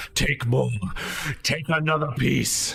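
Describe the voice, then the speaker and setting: A man's put-on, growling character voice at medium pitch, over light background noise. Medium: actual play. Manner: coughing, growling, otherworldly.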